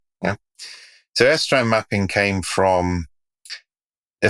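Ordinary pitch variation comes through in a dry, close sound with no echo, on a very clean recording with a silent background. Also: man. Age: 60s. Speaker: expert guest. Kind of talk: interview conversation.

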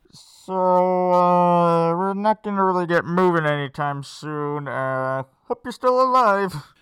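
The put-on character voice sits at a middle pitch and moves very slowly, with hardly any pauses. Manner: dry, deadpan.

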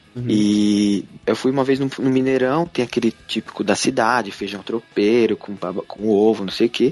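A man with an ordinary speaking voice, medium in pitch with ordinary pitch variation, talks with hardly any pauses in a dry, close sound with no echo. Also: moderate pace. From Brazil, São Paulo city. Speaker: YouTuber living abroad. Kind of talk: interview, casual chat.

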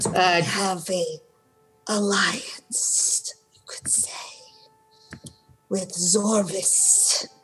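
In a put-on character voice that sounds female and sits at a medium pitch for a woman, the speaker goes at a very slow pace with long, frequent pauses over faint music in the background. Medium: actual play. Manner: halting, broken phrasing.

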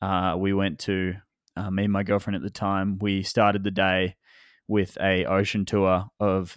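In a very deep, low pitch, a man speaks at a moderate pace with monotone, flat intonation. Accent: Australian. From Australia, Melbourne. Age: 20s. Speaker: photographer and filmmaker. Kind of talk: interview. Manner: halting, many fillers and repeats.

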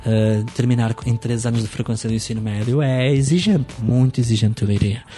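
A man with a Portuguese accent speaks at a medium pitch and fairly quick pace, with hardly any pauses and fairly even intonation, over noticeable background noise. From Portugal. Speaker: school educator. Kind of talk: interview.

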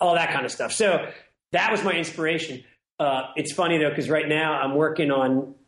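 At a fairly quick pace, a man with a fairly high pitch speaks with fairly even intonation and very even loudness, in audible room echo. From Washington, DC. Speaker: singer-songwriter. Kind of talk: casual interview.

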